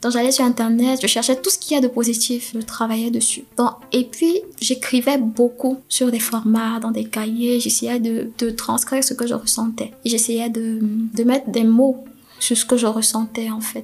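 Over noticeable background noise, the speaker talks at a fairly slow pace in a monotone, flat intonation. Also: woman, fairly high pitch for a woman. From Cameroon. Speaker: podcast guest. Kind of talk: personal testimony interview. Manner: halting.

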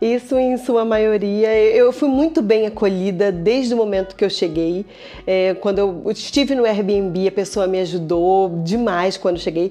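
With music in the background, a woman with a Rio de Janeiro accent speaks fairly slowly at a medium pitch, her loudness very even and her pitch varying in an ordinary way. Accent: Carioca Brazilian Portuguese. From Brazil, Rio de Janeiro. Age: 40s. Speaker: researcher. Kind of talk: interview.

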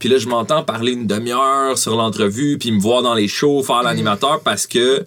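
A man speaks in an ordinary speaking voice at medium pitch and moderate pace. The recording is very clean, with a silent background. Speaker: rapper and actor. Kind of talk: casual chat.

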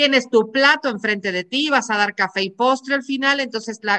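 A woman talks at a fairly quick pace with lively intonation. Her tone is bright and sharp. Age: 40s. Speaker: podcast host, psychologist and coach. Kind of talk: casual interview chat.

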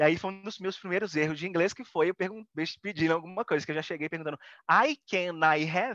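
This man talks very fast in a high pitch, with a bright, sharp tone. The sound is dry and close with no echo, over a quiet background. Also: ordinary pitch variation. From Brazil. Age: 30s. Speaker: photographer. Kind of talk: casual interview.

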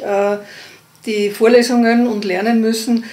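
Amid noticeable background noise and audible room echo, a woman speaks at a fairly high pitch in a monotone, with flat intonation. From Upper Austria, Innkreis. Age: 50s. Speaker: midwife. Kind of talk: casual interview.

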